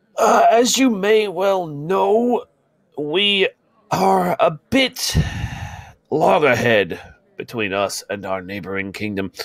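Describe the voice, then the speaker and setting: A man's put-on character voice at a fairly high pitch, very slow, with long, frequent pauses. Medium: actual play. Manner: stiff formal speech, fumbling words.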